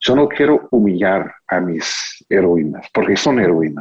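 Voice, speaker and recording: With an English accent, a man talks using lively intonation. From US, Texas (Houston). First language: English (speaking Spanish). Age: 40s. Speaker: author and biographer. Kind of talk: interview. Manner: halting.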